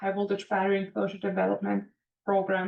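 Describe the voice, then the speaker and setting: A woman is speaking. She has a German accent. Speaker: composites industry manager and engineer. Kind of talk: career talk to students.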